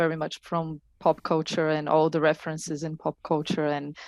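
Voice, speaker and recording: A woman with a Portuguese accent speaks at a moderate pace, her voice dry and close with no echo over a quiet background. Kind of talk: panel discussion.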